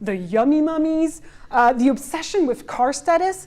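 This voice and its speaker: The speaker uses lively intonation and has a French accent. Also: woman. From France. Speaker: cultural and social historian. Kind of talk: conference presentation. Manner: hesitant, with self-corrections.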